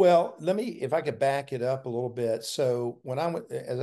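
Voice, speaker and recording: Against a quiet background, a man with a Southern US accent talks at a fairly quick pace in a medium pitch, his tone dark and mellow, with ordinary pitch variation. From US South, South Carolina. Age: 60s. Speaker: pastor and former university president. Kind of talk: interview.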